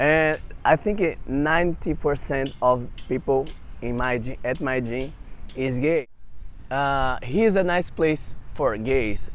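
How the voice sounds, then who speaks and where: A man with a Brazilian Portuguese accent, fairly high pitch, ordinary pitch variation, a very slow pace, and long, frequent pauses. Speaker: interview guest. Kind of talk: casual interview chat. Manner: halting, non-native phrasing.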